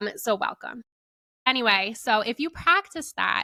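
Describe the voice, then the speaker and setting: A woman talks in a bright, sharp tone with vocal fry and lively intonation. The recording is very clean with a silent background and a dry, close sound with no echo. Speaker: podcast host. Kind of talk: spiritual podcast monologue. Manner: rambling with fillers.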